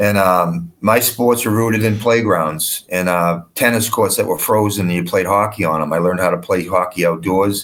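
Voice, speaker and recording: An unremarkable speaking voice, this man's American accent comes at a moderate pace with a fairly low pitch, fairly even intonation, very even loudness and hardly any pauses. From Boston, US. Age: 60s. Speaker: hockey coach. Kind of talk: interview. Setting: studio.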